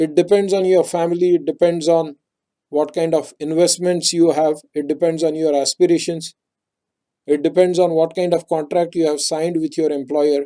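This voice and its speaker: In a Marathi accent, a man speaks at a moderate pace in a high pitch with a dark, mellow tone and monotone, flat intonation. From India, Maharashtra. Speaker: technical writing trainer. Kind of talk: webinar presentation.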